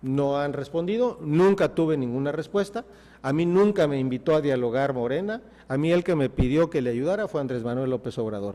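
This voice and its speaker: A man speaks at a fairly high pitch and a fairly quick pace. His intonation is lively. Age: 60s. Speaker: mayoral candidate, politician. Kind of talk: TV interview. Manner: emphatic, passionate.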